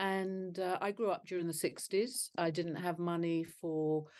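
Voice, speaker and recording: This woman speaks with a London accent. Her pitch is medium, and it varies in an ordinary way. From northwest London. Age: 60s. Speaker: charity founder. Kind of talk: interview. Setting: video call.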